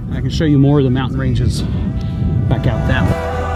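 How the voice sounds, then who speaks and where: Over music in the background, a man with an American accent speaks at a moderate pace with very wide pitch swings. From Southwest Virginia, Appalachian. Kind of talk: casual vlog talk to camera. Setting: outdoors.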